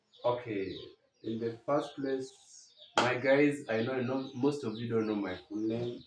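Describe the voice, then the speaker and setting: A man talks at a fairly slow pace and medium pitch with fairly even intonation. Audible room echo is present. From Kenya, Siaya County. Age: 20s. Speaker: mason and vlogger. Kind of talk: casual interview chat. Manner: halting.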